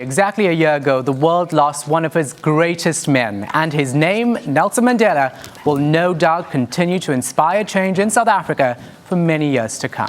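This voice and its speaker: Noticeable background noise can be heard. The talking proceeds at a moderate pace. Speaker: news anchor. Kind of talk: TV news anchoring.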